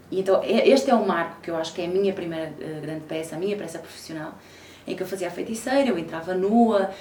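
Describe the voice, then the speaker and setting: The speaker's intonation is lively, heard amid audible room echo and noticeable background noise. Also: woman. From Portugal, Porto. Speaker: actress. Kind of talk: interview. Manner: frequent hesitation fillers.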